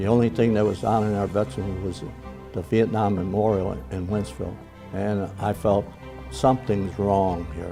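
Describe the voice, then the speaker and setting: Over music in the background, a man at fairly low pitch talks at a moderate pace with ordinary pitch variation. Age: 80s+. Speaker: war veteran. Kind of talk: interview answer.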